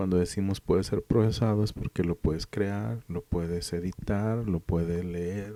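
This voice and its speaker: Close and dry with no echo, a man's very deep, low voice comes through in a dark, mellow tone, with fairly even intonation and a fairly slow pace. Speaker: programming teacher. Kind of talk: lecture. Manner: monotone.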